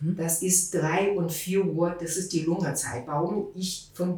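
With a Chinese accent, a woman talks at a very slow pace and fairly low pitch. Her intonation is fairly even, and there is noticeable background noise. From China, Beijing. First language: Mandarin Chinese (speaking German). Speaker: TCM practitioner. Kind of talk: expert interview. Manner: halting.

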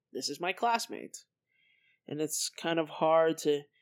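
A speaker with an American accent talks at a fairly slow pace. The recording is very clean, with a silent background. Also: woman. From Colorado. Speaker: podcast host, college student. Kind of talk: solo monologue podcast. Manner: casual, filler-heavy.

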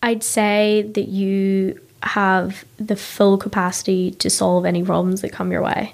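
In a Northern Irish accent, a woman speaks at a fairly slow pace and medium pitch, with monotone, flat intonation and hardly any pauses. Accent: Ballymena, Northern Irish. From Northern Ireland, Ballymena. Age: 20s. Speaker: tech marketer and startup founder. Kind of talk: casual interview chat. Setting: studio.

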